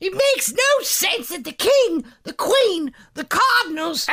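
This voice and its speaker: A man puts on a squeaky character voice at an extremely high pitch, with very wide pitch swings. He speaks at a fairly slow pace. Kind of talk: comic overacting. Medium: audio drama. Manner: chatty, repetitive.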